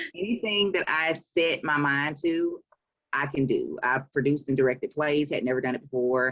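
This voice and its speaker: A woman with a Southern US accent speaks at a moderate pace in a very deep, low pitch. Her loudness is very even, and her pitch varies in an ordinary way. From Alabama, Montgomery. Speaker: author and publisher. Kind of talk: interview.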